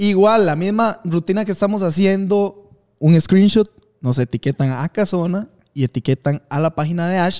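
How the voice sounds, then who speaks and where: With a Costa Rican accent, a man speaks in a high, dark, mellow voice, the sound dry and close with no echo. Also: ordinary pitch variation, moderate pace. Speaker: podcast co-host. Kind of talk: casual chat.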